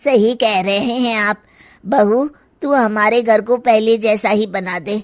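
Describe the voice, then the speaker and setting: A cartoonish character voice from a woman, fairly high in pitch, with fairly even intonation. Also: moderate pace. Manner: blunt, familiar.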